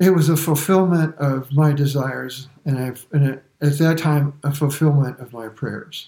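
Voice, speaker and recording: With an American accent, a man talks at a moderate pace in a fairly high, somewhat breathy voice with fairly even intonation. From US, Brooklyn, New York. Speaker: church member giving testimony. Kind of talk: testimony.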